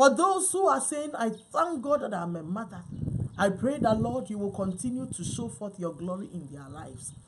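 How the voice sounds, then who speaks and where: A woman at a moderate pace, light background noise behind her. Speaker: minister. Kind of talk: prayer. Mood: fervent, earnest. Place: home room. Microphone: camera far.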